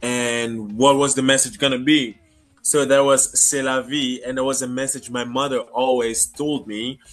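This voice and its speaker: Speaking in a French accent at a moderate pace, a man keeps a monotone, flat intonation. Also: medium pitch for a man, quiet background. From Congo. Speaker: singer. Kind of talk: interview. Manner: halting.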